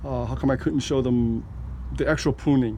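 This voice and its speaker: This man speaks at a fairly quick pace. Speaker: home gardener and video creator. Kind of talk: impromptu garden tour vlog. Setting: outdoors in backyard garden, filming one-handed. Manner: halting, many fillers.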